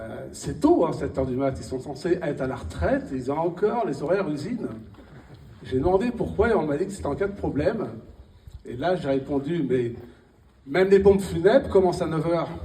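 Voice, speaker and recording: A man with a fairly high pitch and lively intonation talks at a fairly quick pace with long, frequent pauses and big swings in loudness, with audible room echo and noticeable background noise. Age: 60s. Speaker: stand-up comedian. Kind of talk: stand-up. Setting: stage with audience.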